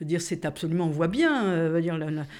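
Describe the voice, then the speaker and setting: A woman talks in a plain, everyday voice at fairly low pitch. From Corsica. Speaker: feminist activist, publisher. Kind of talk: casual conversation / interview.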